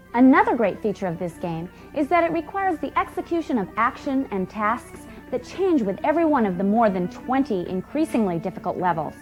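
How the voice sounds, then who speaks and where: A woman talks at a fairly high pitch and a fairly quick pace, her voice swinging very widely in pitch. Music plays in the background. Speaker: presenter. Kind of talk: infomercial product presentation.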